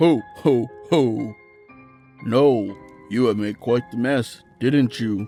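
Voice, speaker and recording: In a booming, put-on character voice of medium pitch, a man speaks at a very slow pace with long, frequent pauses while faint music plays in the background. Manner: jolly.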